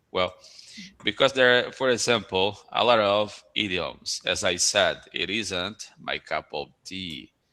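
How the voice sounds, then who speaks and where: A man with a Brazilian Portuguese accent speaks very slowly in a fairly low voice with a bright, sharp tone. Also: ordinary pitch variation. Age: 40s. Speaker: school principal. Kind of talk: casual chat. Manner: halting.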